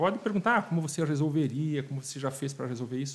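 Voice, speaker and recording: This man speaks at a fairly high pitch, somewhat breathy. His pitch varies in an ordinary way. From Rio Grande do Sul, Brazil (Passo Fundo area). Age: 40s. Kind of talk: casual interview chat. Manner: halting, repeats words.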